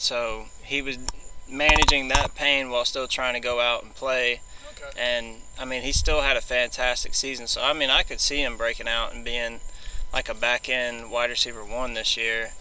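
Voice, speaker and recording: A man talks at a moderate pace as noticeable background noise runs behind him. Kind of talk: casual chat.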